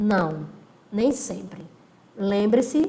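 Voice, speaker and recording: A woman talks with lively intonation while audible room echo and noticeable background noise fill the recording. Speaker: law teacher. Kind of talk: recorded lecture. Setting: recording alone, no live class.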